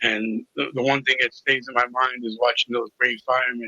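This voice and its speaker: A man speaks at a moderate pace with a Brooklyn accent, his intonation monotone and flat. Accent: New York (Brooklyn). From New York City (Brooklyn). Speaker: recovery coach. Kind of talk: interview testimony.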